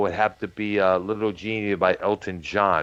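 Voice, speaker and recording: A man with an American accent, fairly low-pitched, at a moderate pace against a quiet background. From Michigan, Detroit area. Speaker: podcast host. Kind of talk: casual chat. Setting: live stream. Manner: halting.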